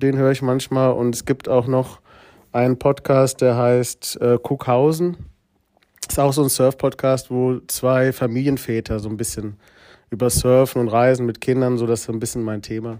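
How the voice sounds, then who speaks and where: A man speaks at a moderate pace with a medium pitch, a dark, mellow tone and monotone, flat intonation. The recording is very clean, with a silent background. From Hesse, Germany (Gießen). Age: 30s. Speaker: deputy school principal. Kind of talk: casual interview. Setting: school room. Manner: hesitant with many fillers.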